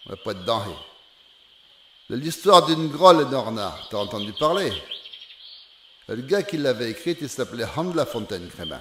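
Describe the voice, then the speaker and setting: The speaker has a Charente accent and very wide pitch swings. Long, frequent pauses break up the speech over noticeable background noise. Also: man, medium pitch for a man, moderate pace, big swings in loudness. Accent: Charentais regional patois. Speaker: storyteller. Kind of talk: folk fable telling in dialect. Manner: homely, conversational.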